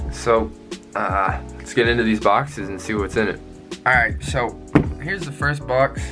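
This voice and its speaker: With music in the background, the voice makes very wide pitch swings and takes long, frequent pauses. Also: man, fairly low pitch for a man, moderate pace, big swings in loudness. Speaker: motorcycle vlogger. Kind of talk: casual unboxing talk to camera. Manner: stuttering, rambling.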